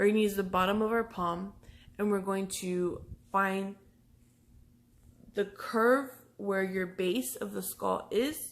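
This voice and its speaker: A woman talks at a very slow pace, leaving long, frequent pauses. Her pitch varies in an ordinary way. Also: medium pitch for a woman. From Texas, Brownsville. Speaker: massage therapist. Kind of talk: tutorial. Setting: pre-recorded video. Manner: casual.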